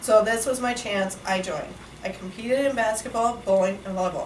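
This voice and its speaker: A woman talks at a fairly quick pace with fairly even intonation, amid audible room echo and noticeable background noise. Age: 30s. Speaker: Special Olympics athlete. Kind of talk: prepared speech. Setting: workplace lunch talk with audience.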